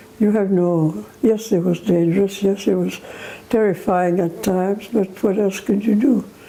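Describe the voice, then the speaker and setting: Medium-pitched woman at a moderate pace, fairly even intonation and very even loudness, over noticeable background noise. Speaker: war veteran. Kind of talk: testimony. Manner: halting.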